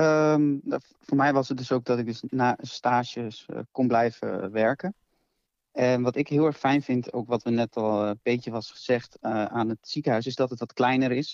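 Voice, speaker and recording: The speaker has a plain, everyday voice with fairly even intonation and a fairly slow pace. The sound is dry and close, with no echo. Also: man, medium pitch for a man. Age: 20s. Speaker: nurse. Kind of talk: casual chat.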